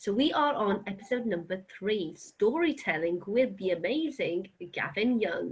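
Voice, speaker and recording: A woman speaks at medium pitch with very wide pitch swings and a fairly slow pace. Her loudness stays very even, and noticeable background noise can be heard. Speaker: science communicator and podcast host. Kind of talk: podcast intro.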